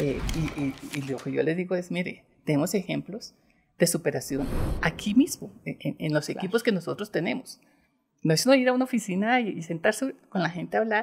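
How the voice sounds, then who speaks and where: Somewhat breathy, a woman speaks at a fairly low pitch and a fairly quick pace. Her pitch swings are very wide. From Bogotá, Colombia. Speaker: bank executive; guest. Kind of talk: interview. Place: studio. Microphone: studio mic.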